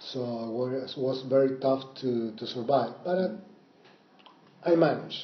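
Speaking fairly slowly with long, frequent pauses, a man with an Argentine accent keeps a medium pitch and ordinary pitch variation. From Mendoza, Argentina. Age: 50s. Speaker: Airbnb host and storyteller. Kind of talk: casual interview. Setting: cafe, then home. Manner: halting, many fillers.

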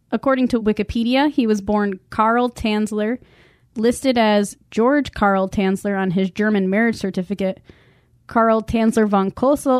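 In an ordinary speaking voice, a woman with a fairly high pitch and ordinary pitch variation talks at a moderate pace, recorded very cleanly against a silent background with a dry, close sound and no echo. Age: 30s. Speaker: true crime podcast host. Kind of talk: casual chat.

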